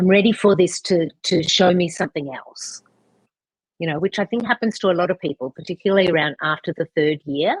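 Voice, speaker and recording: A woman speaks in a normal speaking voice, fairly low in pitch with ordinary variation. The sound is dry and close, with no echo. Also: fairly quick pace. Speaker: podcast host. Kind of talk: interview question. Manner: casual, conversational.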